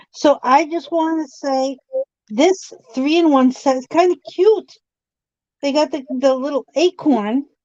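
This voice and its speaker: A woman with a Boston accent speaks in a high pitch and a dark, mellow tone, with long, frequent pauses, in a dry, close sound with no echo. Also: ordinary pitch variation, fairly slow pace. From Boston area. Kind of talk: casual chat. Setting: live stream.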